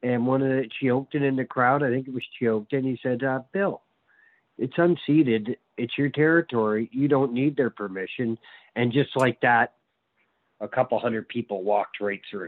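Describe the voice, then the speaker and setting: A man with an ordinary speaking voice talks at a medium pitch and a moderate pace, using ordinary pitch variation. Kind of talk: casual interview conversation.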